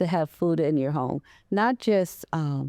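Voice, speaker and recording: Dark and mellow in tone, a woman speaks with lively intonation in a very clean recording with a silent background and a dry, close sound with no echo. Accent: American. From US Midwest, Waterloo, Iowa. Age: 80s+. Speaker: veteran and counselor. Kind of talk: interview. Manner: soft-spoken; halting.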